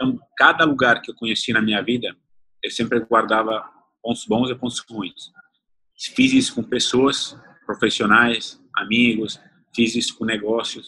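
With an Italian accent, a man speaks at a medium pitch in a bright, sharp tone. His intonation is monotone and flat, broken by long, frequent pauses. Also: fairly slow pace. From Italy (born in the south, grew up partly in the north). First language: Italian (speaking Portuguese). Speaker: chef and restaurant owner. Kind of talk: interview.

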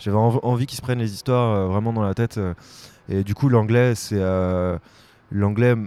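A man speaks at a medium pitch and a moderate pace, with a dark, mellow tone. His intonation is monotone and flat, with long, frequent pauses. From France, Vendée. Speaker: musician. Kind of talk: casual interview. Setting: outdoors by the water. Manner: hesitant, many fillers and repeats.

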